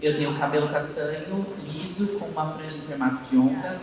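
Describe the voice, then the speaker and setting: Over noticeable background noise and audible room echo, a man talks with very wide swings in pitch. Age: 30s. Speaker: university lecturer and diversity consultant. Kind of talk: panel discussion. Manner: slow.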